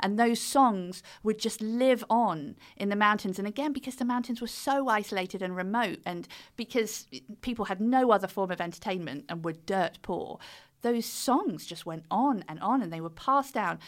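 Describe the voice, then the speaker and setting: A woman speaks with a British accent and lively intonation. Her pitch sits fairly high. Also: moderate pace. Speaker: author and fiddle player. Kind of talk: casual interview chat.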